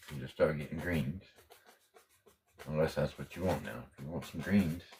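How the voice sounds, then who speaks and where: This man is soft-spoken and relaxed in tone, with a very deep, low pitch and some vocal fry. His pitch varies in an ordinary way. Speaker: painting instructor. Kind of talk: tutorial.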